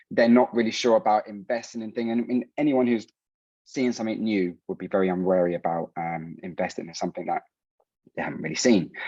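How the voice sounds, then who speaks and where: A man with a London accent and a dark, mellow tone speaks at medium pitch with lively intonation, the sound dry and close with no echo over a quiet background. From London, England (Colombian heritage). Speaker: startup founder. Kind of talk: startup pitch. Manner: hurried.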